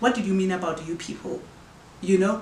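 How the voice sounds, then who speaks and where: With a Zulu accent, a woman speaks at a medium pitch amid noticeable background noise and audible room echo. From South Africa, KwaZulu-Natal. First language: isiZulu. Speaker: podcast host. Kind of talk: casual Q&A chat. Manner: halting.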